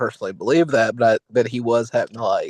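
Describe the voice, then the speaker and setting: A man at medium pitch talks at a very fast pace, the sound dry and close with no echo. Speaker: podcast co-host. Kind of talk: casual political discussion. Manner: halting, stumbles over words.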